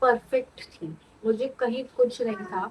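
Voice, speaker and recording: This woman speaks at a high pitch. Her pace is very slow. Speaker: vlogger. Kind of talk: casual vlog talk to camera.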